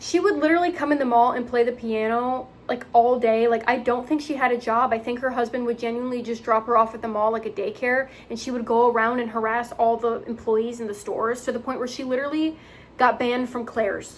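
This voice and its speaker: Very fast and high-pitched, a woman speaks with fairly even intonation. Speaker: retail worker and vlogger. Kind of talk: storytime vlog. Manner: occasional stumbles over words.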